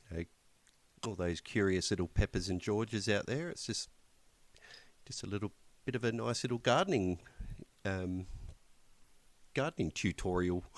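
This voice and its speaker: With a strong Australian accent, a man talks at a fairly low pitch with ordinary pitch variation and long, frequent pauses, in a dry, close sound with no echo. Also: moderate pace. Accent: broad Australian. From rural Australia. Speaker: podcast co-host. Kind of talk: casual chat. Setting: Skype call.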